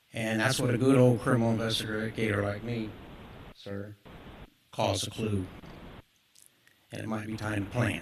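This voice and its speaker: A man's fairly low, monotone, flat voice at a moderate pace, with long, frequent pauses and audible room echo. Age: 60s. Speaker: business owner speaking at public comment. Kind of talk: public comment at council meeting. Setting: city council meeting.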